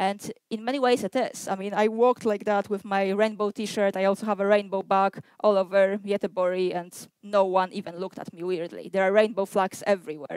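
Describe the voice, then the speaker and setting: A Polish accent with fairly even intonation, in a dry, close recording with no echo. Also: woman. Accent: non-Swedish foreign accent (Polish). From Poland. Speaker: activist and community organizer. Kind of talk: lecture.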